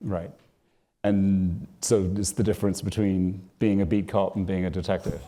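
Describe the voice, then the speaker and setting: Speaking at a moderate pace with a British accent, a man with a fairly low pitch and a dark, mellow tone keeps his intonation fairly even on a very clean recording with a silent background. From Britain. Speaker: author and interviewer. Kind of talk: live onstage interview. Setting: stage with audience.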